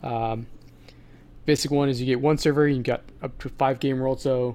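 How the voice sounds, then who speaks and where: A man's fairly high-pitched voice with fairly even intonation. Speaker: podcast co-host. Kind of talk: casual chat.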